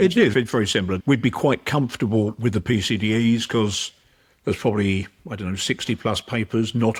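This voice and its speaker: A man with a fairly low, somewhat breathy voice speaks at a fairly quick pace. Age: 70s. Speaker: performance psychologist. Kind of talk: podcast interview.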